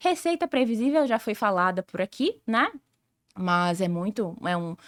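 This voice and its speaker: A woman talks at a fairly slow pace with a fairly high pitch. Her pitch swings very widely, and the sound is dry and close with no echo. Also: very clean recording, silent background. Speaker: sales director and consultant. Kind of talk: podcast interview.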